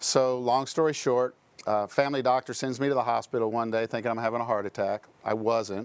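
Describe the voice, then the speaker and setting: A man talks in an unremarkable speaking voice, pitched medium. His pace is fairly quick and his intonation fairly even. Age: 60s. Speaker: entrepreneur and insurance professional. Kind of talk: casual interview storytelling.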